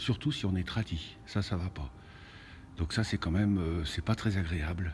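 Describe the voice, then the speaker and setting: Somewhat breathy and very deep in pitch, a man speaks at a fairly slow pace with ordinary pitch variation. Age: 60s. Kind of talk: casual video monologue. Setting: inside a cathedral. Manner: halting, many hesitations.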